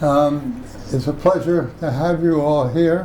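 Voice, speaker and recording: Through audible room echo comes a man with an American accent and a fairly high pitch. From Washington, D.C. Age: 90s. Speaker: oral history interviewee. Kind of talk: oral history interview. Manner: halting.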